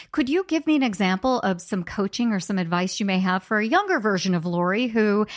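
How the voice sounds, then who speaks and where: A normal speaking voice with lively intonation at a fairly quick pace. The recording is very clean and dry, with a close sound, no echo and a silent background. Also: woman. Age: 40s. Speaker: podcast host. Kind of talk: interview.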